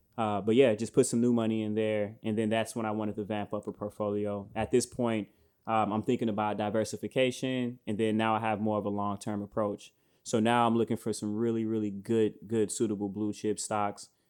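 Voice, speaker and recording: Heard on a very clean recording with a silent background, a man with an American accent speaks at a fairly low pitch and a fairly quick pace in monotone, flat intonation. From Chicago, US. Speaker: podcast host. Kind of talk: casual chat. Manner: hesitant, many fillers.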